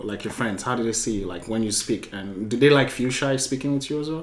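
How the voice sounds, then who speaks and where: Amid noticeable background noise and audible room echo, a man with a Nigerian accent talks at a very fast pace. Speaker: podcast host. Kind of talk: casual interview chat.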